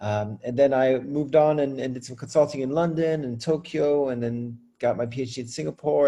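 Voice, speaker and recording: A man with an American accent and a dark, mellow tone talks at a fairly quick pace. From France. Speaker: school leader and educator. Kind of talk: interview. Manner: many fillers and repetitions.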